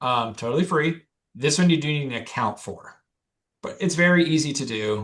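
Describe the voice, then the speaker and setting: A man with a normal speaking voice at a moderate pace, his intonation lively. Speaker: title company presenter. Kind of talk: webinar presentation.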